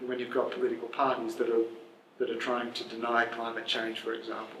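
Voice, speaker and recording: An Australian accent with audible room echo. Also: man. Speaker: journalist and author. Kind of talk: Q&A discussion. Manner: halting.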